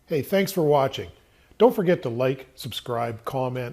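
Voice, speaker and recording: Moderate-paced speech from a man at medium pitch, somewhat breathy with a dark, mellow tone, on a very clean recording with a silent background. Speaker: car enthusiast video host. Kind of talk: casual video update.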